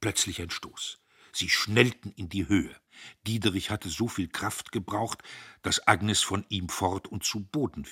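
This clip features an unforced reading voice.

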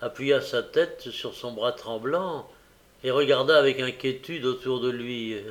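This clip has a reading voice. It sounds unforced.

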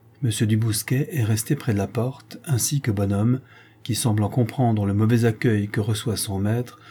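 The clip is reading aloud in a natural voice with fairly even intonation.

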